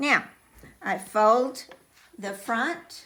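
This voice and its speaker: A fairly high-pitched woman with a Texan accent, very slow in pace and lively in intonation. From Texas. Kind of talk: sewing tutorial.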